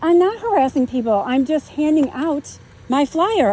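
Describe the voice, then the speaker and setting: A woman speaks loudly at a fairly slow pace with very wide pitch swings. Noticeable background noise is present. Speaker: homeowner in property dispute. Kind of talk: heated argument with officers.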